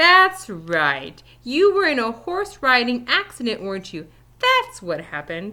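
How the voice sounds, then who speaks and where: A woman puts on a character voice, high in pitch, with very wide pitch swings. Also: moderate pace. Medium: read story. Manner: confused, concerned.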